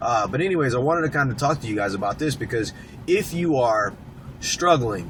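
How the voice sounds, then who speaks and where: A man's medium-pitched voice, fairly quick and lively in intonation, over noticeable background noise. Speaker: coach. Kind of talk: motivational talk. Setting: in a car. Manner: halting.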